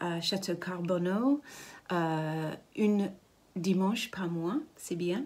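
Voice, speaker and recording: A woman speaks with a British accent at a very slow pace. Her pitch sits in the medium range. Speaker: ceramicist. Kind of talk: interview. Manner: halting. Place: workshop. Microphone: phone near.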